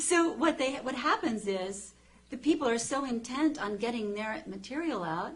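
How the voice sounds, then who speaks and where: Over noticeable background noise, a woman speaks loudly in a high pitch with lively intonation. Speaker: TV journalist and author. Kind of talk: interview. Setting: TV studio. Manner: fast.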